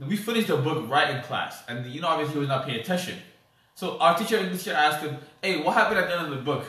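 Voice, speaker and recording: Amid noticeable background noise, a man with an American accent talks at a very fast pace, his fairly high voice full of lively intonation. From US, DC area (DMV), Ethiopian family. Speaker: podcast co-host. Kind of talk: casual chat.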